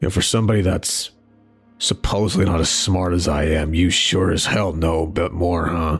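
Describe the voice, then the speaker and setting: Over faint background music, a man uses a put-on character voice with a very deep, low pitch. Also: moderate pace. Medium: role play. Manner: cold, bitter, menacing.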